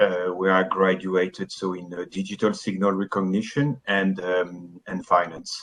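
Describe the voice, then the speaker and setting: A man with a strong French accent speaks at a moderate pace with very deep, low pitch. His intonation is monotone and flat, with hardly any pauses. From France. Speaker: business founder, IT architect. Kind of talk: interview.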